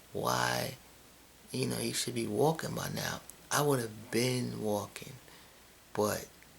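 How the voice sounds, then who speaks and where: A man is talking in a room with audible echo. There is noticeable background noise as well. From New York City. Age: 30s. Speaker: vlogger, fitness trainer. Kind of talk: casual vlog monologue. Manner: halting, repetitive.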